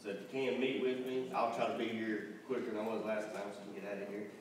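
A man at a fairly quick pace with fairly even intonation, in strong room echo over light background noise. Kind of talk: announcements. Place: church.

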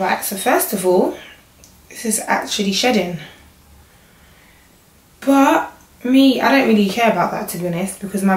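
A woman speaks at medium pitch with ordinary pitch variation. Strong room echo surrounds her voice.

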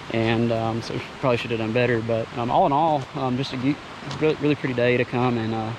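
A man talks at a fast pace with medium pitch and fairly even intonation. Clear background noise is present.

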